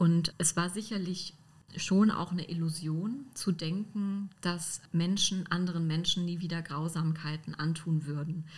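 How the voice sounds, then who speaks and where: A woman speaks at a fairly slow pace, her pitch fairly low. Her voice is somewhat breathy, with fairly even intonation. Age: 30s. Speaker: historian. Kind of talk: interview.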